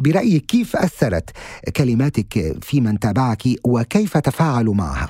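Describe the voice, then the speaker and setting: A man with a medium pitch and a dark, mellow tone speaks at a fairly slow pace, somewhat breathy, with very wide pitch swings. His loudness is very even, and the sound is dry and close with no echo. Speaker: podcast host. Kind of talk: interview. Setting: studio. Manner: formal.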